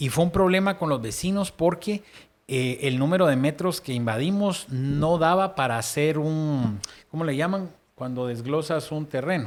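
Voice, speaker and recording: An unremarkable speaking voice from a man, fairly high in pitch, with ordinary pitch variation and a fairly slow pace, on a very clean recording with a silent background. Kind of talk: casual faith discussion.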